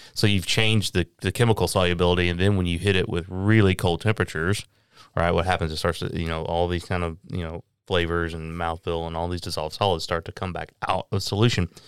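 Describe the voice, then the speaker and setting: A man with a Tennessee accent speaks at a very fast pace in a very deep, low voice, recorded very cleanly against a silent background. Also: fairly even intonation, dry, close sound with no echo. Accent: US Southern (Tennessee). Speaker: master distiller. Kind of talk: casual interview.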